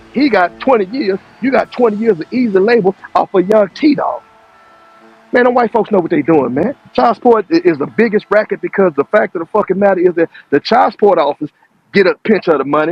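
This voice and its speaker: With music playing behind him, a man speaks at a fairly quick pace, his pitch high and his intonation lively. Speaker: panelist in online discussion. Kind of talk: heated debate. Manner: fast; animated.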